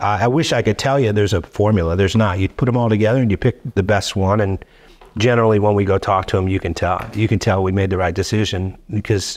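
A man speaks very fast in a fairly low voice, with fairly even intonation and very even loudness. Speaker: podcast guest. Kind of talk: interview answer. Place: studio. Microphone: studio mic.

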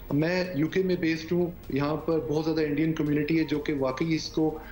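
A man speaks at a fairly high pitch and a fairly quick pace. His voice shows little pitch movement.

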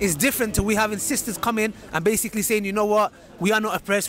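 A man talks at a very fast pace and a high pitch. The sound is dry with no echo, over light background noise. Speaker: street video host. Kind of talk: casual vlog chat. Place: street. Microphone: handheld.

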